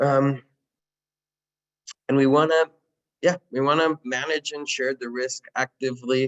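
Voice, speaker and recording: In a Spanish accent, a man speaks at a moderate pace and a medium pitch. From Colombia. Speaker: city technology official and trainer. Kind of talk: virtual training presentation.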